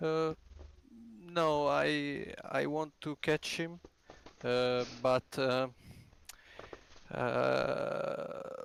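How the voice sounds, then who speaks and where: Speaking with a non-native accent, a man moves at a very slow pace with long, frequent pauses. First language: not English. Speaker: sim racing driver. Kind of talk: post-race interview. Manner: halting, many hesitations.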